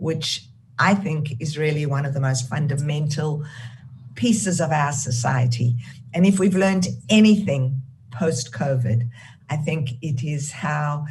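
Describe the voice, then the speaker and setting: A woman with a South African accent speaks fairly slowly, her very deep, low pitch somewhat breathy. Her pitch varies in an ordinary way, and audible room echo fills the recording. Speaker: charity founder and CEO. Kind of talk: keynote talk. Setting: video call.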